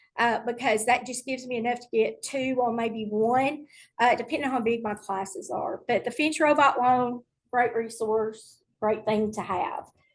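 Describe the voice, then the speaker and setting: A woman in a Tennessee accent, high-pitched, at a moderate pace with ordinary pitch variation, over a quiet background. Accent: Southern US (Tennessee). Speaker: middle school STEM teacher. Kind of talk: online presentation to teachers.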